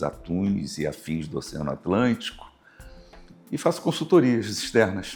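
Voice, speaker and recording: A man's very deep, low voice at a fairly slow pace. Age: 60s. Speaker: university professor and river basin committee president. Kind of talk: interview.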